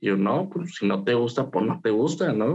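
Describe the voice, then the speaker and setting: A man speaks in an unremarkable speaking voice. His pitch is medium and his pace fairly slow. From Mexico, Saltillo (Coahuila). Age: 30s. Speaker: psychologist. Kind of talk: casual interview.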